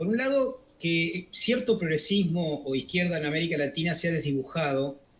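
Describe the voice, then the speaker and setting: A high-pitched man's voice with very wide pitch swings, against noticeable background noise. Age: 60s. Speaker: economist, political commentator. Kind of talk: interview. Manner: hesitant, many fillers.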